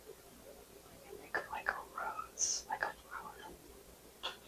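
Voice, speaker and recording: A calm whisper over noticeable background noise. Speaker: ASMR creator and artist. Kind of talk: ASMR roleplay, seasonal color analysis. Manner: whispered, soft, calm.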